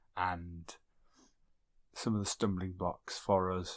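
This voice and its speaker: In a very clean recording with a silent background, a man speaks quietly in a very deep, low pitch. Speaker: podcast host and archaeologist. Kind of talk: podcast intro. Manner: quiet, hushed.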